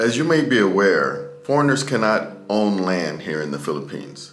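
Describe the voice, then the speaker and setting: A man's fairly low voice at a fairly slow pace, with very wide pitch swings and music in the background. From United States. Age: middle-aged. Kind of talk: casual talk to camera.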